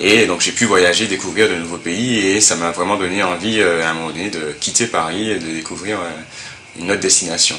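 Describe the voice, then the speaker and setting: Amid noticeable background noise and audible room echo, a man with a very deep, low pitch talks at a fairly quick pace with fairly even intonation. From Martinique. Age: 30s. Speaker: telecom manager and music entrepreneur. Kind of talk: testimony. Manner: hesitant, many fillers.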